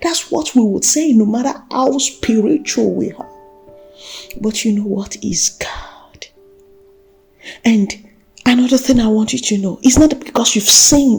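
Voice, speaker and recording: With music in the background, a woman with a fairly high pitch speaks at a fairly slow pace, using ordinary pitch variation and long, frequent pauses. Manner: earnest, exhortational.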